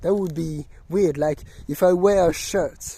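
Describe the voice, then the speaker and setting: A very slow, non-native accent in a very clean recording with a silent background. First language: not English. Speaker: video blogger, music reviewer. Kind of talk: casual monologue vlog. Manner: halting, many fillers and restarts.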